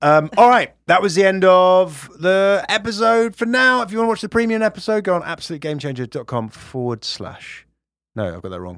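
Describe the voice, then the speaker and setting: A man's high voice with a British accent, fairly quick and lively in intonation, with big swings in loudness, on a very clean recording with a silent background. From UK. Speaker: comedian and podcast co-host. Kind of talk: casual chat. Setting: studio.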